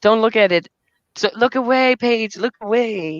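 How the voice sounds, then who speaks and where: In a German accent, a woman speaks at a moderate pace with lively intonation, the sound dry and close with no echo. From Germany. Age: 30s. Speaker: livestreamer. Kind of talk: casual chat. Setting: livestream. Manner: halting, many repeated words.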